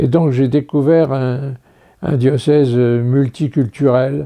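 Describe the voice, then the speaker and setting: Speaking very slowly, a man uses a dark, mellow tone and fairly even intonation. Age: 90s. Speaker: priest. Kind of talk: interview reminiscence. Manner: halting.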